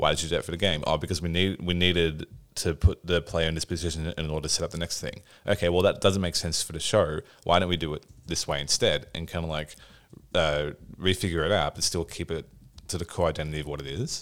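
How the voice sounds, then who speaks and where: A man with an Australian accent talks at a very fast pace, his very deep, low pitch delivered in a monotone, flat intonation. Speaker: podcast host, video game developer. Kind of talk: casual chat.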